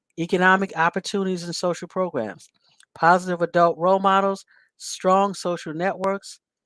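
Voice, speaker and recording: In a very clean recording with a silent background and a dry, close sound with no echo, a woman with medium pitch and an ordinary speaking voice talks at a moderate pace. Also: fairly even intonation. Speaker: mental health outreach show host. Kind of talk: solo talk show monologue.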